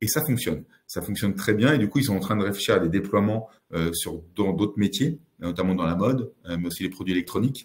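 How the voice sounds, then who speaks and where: This man speaks at a fairly quick pace. His pitch is fairly low, with ordinary pitch variation. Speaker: tech consultant, company founder. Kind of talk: presentation webinar. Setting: office, recorded webinar. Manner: hesitant, many filler sounds.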